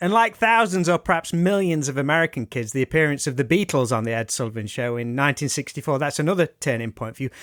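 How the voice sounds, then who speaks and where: A man with a British accent at a fairly high pitch, with lively intonation at a very fast pace and hardly any pauses, on a very clean recording with a silent background and a dry, close sound with no echo. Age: 40s. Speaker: podcast host. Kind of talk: interview.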